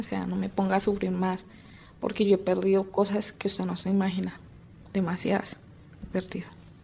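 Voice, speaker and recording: A woman speaks at a moderate pace. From Colombia, rural Tolima. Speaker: former guerrilla, conflict victim. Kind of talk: testimony.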